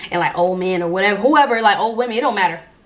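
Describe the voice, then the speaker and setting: A woman talks very fast at a medium pitch with ordinary pitch variation. Noticeable background noise runs underneath. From Jacksonville, Florida. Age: 20s. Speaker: YouTuber. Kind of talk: casual storytime talk to camera. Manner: casual, chatty.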